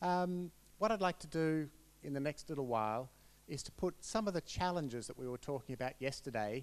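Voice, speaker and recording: Speaking fairly quickly, a man talks in an Australian accent. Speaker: researcher presenting at a conference. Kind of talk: conference presentation. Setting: conference room with audience.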